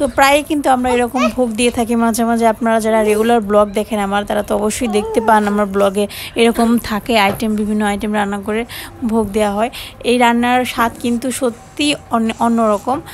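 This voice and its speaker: A woman is speaking here. Her intonation is fairly even, with light background noise behind her. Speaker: home cooking vlogger. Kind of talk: casual vlog commentary. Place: kitchen. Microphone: phone near.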